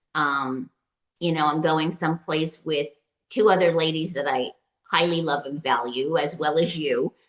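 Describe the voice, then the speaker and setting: Ordinary pitch variation runs through this fairly slow delivery. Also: woman. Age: 60s. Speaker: retreat client. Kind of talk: testimony. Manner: halting.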